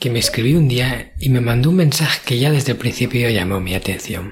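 Using lively intonation, a man talks in a plain, everyday voice. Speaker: podcast host. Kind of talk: solo podcast monologue.

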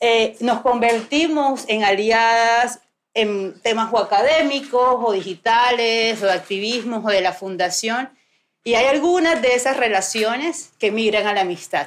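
A woman's fairly high voice in a coastal Colombian accent, fairly slow in pace, with ordinary pitch variation and very even loudness. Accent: Colombian coastal (costeño) Spanish. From Colombian Caribbean coast, Barranquilla. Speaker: podcast host. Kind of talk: live recorded conversation before an audience. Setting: bookstore with live audience.

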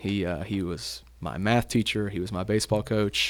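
A man with a Tennessee accent at a fairly low pitch and a moderate pace, with fairly even intonation, on a very clean recording with a silent background. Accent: Southern US (Tennessee). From East Tennessee, Chattanooga area. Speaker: school athletic director. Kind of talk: casual chat.

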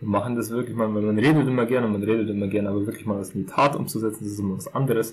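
This man rushes along very fast, his intonation fairly even. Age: 20s. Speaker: podcast co-host. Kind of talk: casual chat.

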